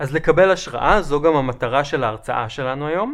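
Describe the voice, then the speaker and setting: A man speaks in an ordinary speaking voice. His pace is moderate. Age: 30s. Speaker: urbanist lecturer. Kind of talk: lecture. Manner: formal.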